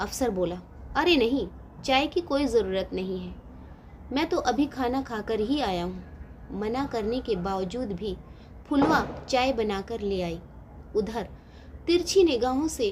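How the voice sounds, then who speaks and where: A woman's fairly high voice moves with lively intonation, broken by long, frequent pauses. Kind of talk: moral story narration.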